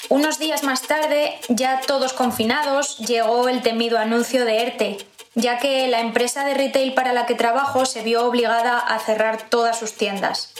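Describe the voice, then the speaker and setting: With hardly any pauses, a woman talks at a moderate pace in a high pitch and monotone, flat intonation, amid noticeable background noise and audible room echo. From Spain, Zamora (Castile and León). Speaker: pregnant office worker sharing lockdown experience. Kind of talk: personal testimony, read narrative.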